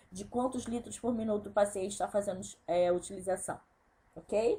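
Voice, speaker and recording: Somewhat breathy and dark, mellow in tone, a woman speaks at a medium pitch with fairly even intonation. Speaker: nursing teacher. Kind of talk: recorded online lecture. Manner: deliberately slowing down.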